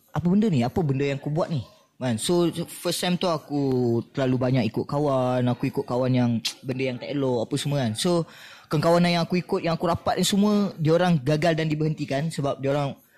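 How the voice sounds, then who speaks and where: A man talks at a very fast pace in a fairly high pitch, with ordinary pitch variation and music playing in the background. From Malaysia, Negeri Sembilan (Seremban). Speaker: actor. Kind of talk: casual chat. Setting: cafe.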